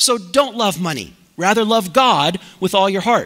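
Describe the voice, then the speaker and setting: Against a quiet background, a man projects his raised voice with a bright, sharp tone and ordinary pitch variation. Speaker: preacher. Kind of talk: sermon. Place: church.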